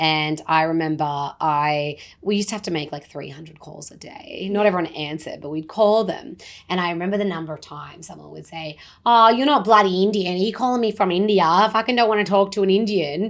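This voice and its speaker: A woman with an Australian accent speaks very fast at a medium pitch. Her intonation is lively, and her loudness swings widely. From rural Australia. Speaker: podcast guest. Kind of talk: casual chat.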